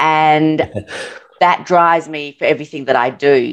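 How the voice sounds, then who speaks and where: A woman with an Australian accent, very deep and low in pitch, fairly slow and fairly even in intonation. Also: quiet background. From Adelaide, South Australia. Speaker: podcast guest, urological surgeon. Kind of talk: interview answer. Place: home room. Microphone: video call.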